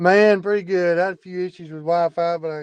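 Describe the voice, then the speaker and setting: At a very fast pace, a man speaks with a Nashville accent and a high pitch. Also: dry, close sound with no echo. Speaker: fan guest, Twitter user. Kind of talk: casual chat. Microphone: had Wi-Fi issues.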